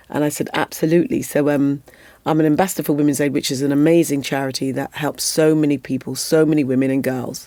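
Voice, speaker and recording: A woman with a British accent speaks very fast in a very deep, low voice with a dark, mellow tone and monotone, flat intonation, on a very clean recording with a silent background. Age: 50s. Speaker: former Olympic athlete and advocate. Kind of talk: podcast interview.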